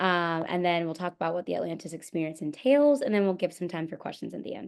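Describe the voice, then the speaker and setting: Against a quiet background, a woman with an American accent talks at a very fast pace. Her fairly low pitch carries lively intonation. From Florida. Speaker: medical student. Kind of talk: webinar presentation.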